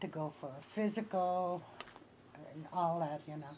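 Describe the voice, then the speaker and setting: In a Great Lakes accent, a woman speaks at a fairly slow pace with a dark, mellow tone and fairly even intonation. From northern Minnesota, Ojibwe community. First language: Ojibwe. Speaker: Ojibwe elder. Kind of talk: oral history interview. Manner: halting, many fillers.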